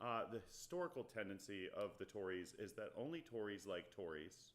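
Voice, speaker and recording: Using a fairly low pitch with very wide pitch swings, a man speaks at a moderate pace. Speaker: podcast host. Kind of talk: casual live stream chat. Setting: live stream, alone at home. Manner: used to be very loud, now turned down.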